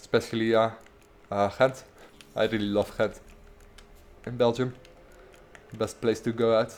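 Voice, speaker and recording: The speaker has a strong Dutch accent and a moderate pace. The intonation is monotone and flat. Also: man. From Netherlands. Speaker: gaming streamer. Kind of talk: gameplay livestream commentary. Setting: livestream. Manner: halting, many fillers and repeats.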